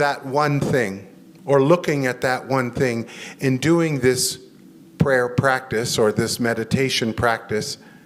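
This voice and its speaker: With music in the background, a man in an American accent speaks at a very slow pace with ordinary pitch variation. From United States. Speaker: chaplain and guest preacher. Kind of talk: sermon.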